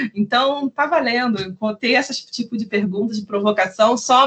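This speaker has a normal speaking voice, moving at a moderate pace with ordinary pitch variation. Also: woman. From Brazil, Rio de Janeiro. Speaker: legal researcher. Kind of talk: podcast interview.

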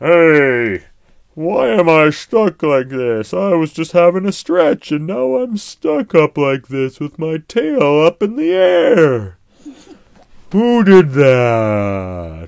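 Slow and full of vocal fry, the put-on character voice makes big pitch swings in a slightly mellow tone.

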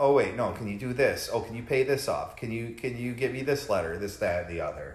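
A man talks at a fairly quick pace while noticeable background noise fills the recording. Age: 30s. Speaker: podcast co-host, recovering alcoholic. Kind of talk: casual chat.

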